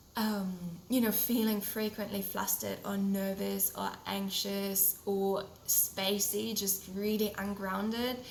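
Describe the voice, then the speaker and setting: Over noticeable background noise and audible room echo, a woman with a German accent speaks at a very slow pace and medium pitch in a monotone, flat intonation. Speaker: podcast host, holistic health coach. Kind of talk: solo podcast talk.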